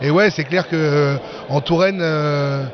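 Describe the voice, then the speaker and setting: Fairly even intonation amid noticeable background noise. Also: man. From France. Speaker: winegrower. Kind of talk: casual interview.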